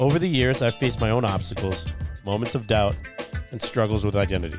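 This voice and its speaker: Over background music, a man with a fairly low pitch speaks very fast with lively intonation. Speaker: podcast host. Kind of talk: podcast intro.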